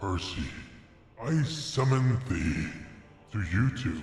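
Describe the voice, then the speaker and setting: At a very slow pace, a man puts on a character voice at medium pitch, with clear echo around him. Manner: theatrical summoning.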